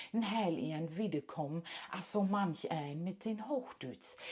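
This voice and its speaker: Speaking at a fairly slow pace, a woman with a fairly low pitch talks in an East Frisian accent. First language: Low German (speaking German). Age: old. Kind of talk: casual monologue.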